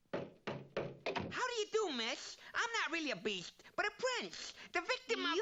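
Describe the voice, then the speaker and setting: A cartoonish character voice, extremely high in pitch, at a fairly slow pace. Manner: wisecracking, comic exasperation.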